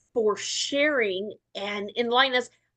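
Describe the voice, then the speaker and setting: A woman's bright, sharp voice against a quiet background. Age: 60s. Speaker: wellness product distributor. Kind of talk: training presentation. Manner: animated.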